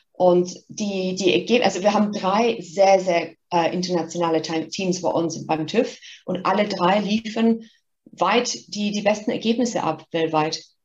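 At a fairly slow pace, a woman with a medium pitch and ordinary pitch variation speaks in an ordinary speaking voice. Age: 50s. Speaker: marketing executive. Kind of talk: interview.

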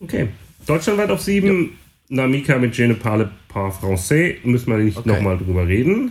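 At a moderate pace, a man talks in a somewhat breathy voice marked by very wide pitch swings. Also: medium pitch for a man. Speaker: podcast co-host and DJ. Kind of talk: casual chat.

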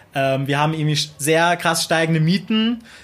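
At a moderate pace, a man with a fairly high pitch speaks in a normal speaking voice. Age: 20s. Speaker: local council candidate, student. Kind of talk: interview.

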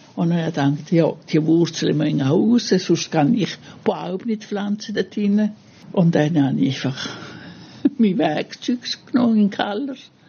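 Over noticeable background noise, a woman with a fairly low pitch speaks with long, frequent pauses. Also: moderate pace. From Italy. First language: Italian (speaking German). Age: 80s+. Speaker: gardener, host's mother. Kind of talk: personal story. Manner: halting.

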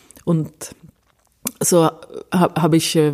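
A woman speaks with a Swedish accent. Her pitch is fairly low and her tone is dark and mellow. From Sweden, Stockholm. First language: Swedish (speaking German). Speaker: cellist. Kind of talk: interview. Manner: halting.

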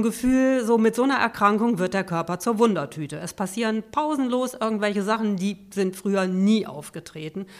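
On a very clean recording with a silent background, a woman speaks in a normal speaking voice at a moderate pace, her pitch fairly high with ordinary variation. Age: 50s. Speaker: patient and volunteer peer counselor. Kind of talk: interview, personal testimony.

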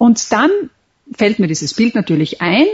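Very wide pitch swings in a woman's medium-pitched voice. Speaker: memory champion and author. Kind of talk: interview. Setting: Skype call. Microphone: internet call audio, sounds somewhat different.

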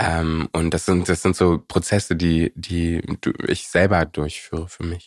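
At a fairly slow pace, a man speaks in a very deep, low voice with monotone, flat intonation. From Berlin (Prenzlauer Berg). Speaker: musician. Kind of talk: casual interview.

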